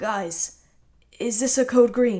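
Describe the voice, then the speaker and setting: In a put-on character voice, a woman pushes a raspy, strained sound at a fairly high pitch. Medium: read story. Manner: calm, restrained.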